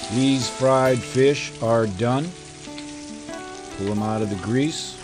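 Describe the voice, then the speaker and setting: Noticeable background noise sits behind a man talking at a very slow pace. His pitch varies in an ordinary way. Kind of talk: cooking tutorial chat. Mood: jovial, relaxed. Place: home room.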